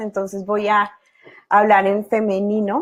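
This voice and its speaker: Very slowly, a woman talks in a fairly high pitch. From Colombia. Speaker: positive psychology expert, guest lecturer. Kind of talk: online class. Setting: video call webinar.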